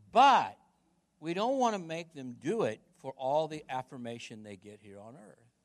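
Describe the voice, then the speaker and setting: Very wide pitch swings and big swings in loudness at a moderate pace, in an American accent against a quiet background. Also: man, fairly high pitch for a man. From US Midwest, Chillicothe. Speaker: pastor. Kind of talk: sermon. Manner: repetitive, halting restarts.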